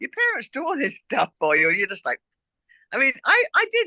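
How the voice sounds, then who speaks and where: At a fairly quick pace, a woman uses a raised, projected voice with a bright, sharp tone and very wide pitch swings, in a dry, close sound with no echo. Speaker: author and former stylist. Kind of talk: casual interview chat.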